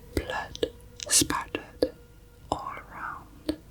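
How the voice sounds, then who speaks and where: A calm, whispering woman at a very slow pace, with noticeable background noise. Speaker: ASMR true crime narrator. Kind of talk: true crime narration, ASMR. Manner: soft-spoken, calm.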